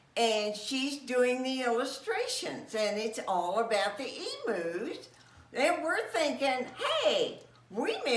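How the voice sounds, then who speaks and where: A woman speaks at a high pitch with lively intonation and a fairly slow pace. Noticeable background noise and audible room echo are present. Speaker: retiree. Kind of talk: interview.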